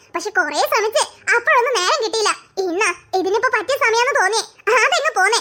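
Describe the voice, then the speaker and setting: A woman does a cartoonish character voice at an extremely high pitch. Her intonation is lively. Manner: homely, chatty.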